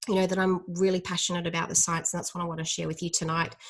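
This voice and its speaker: A woman's somewhat breathy voice. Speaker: dietitian. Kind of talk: educational talk. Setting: live stream. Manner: fast; hesitant, many fillers.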